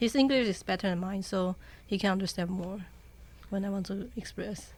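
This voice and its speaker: Somewhat breathy and at medium pitch, a woman speaks with a Chinese accent. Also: fairly even intonation, moderate pace. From Taiwan. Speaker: university student. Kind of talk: casual chat.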